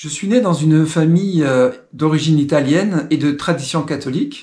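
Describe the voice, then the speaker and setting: A man speaks at a very slow pace. His fairly high pitch shows ordinary variation. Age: 60s. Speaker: testimony speaker. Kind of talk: testimony. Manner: halting, with filler sounds.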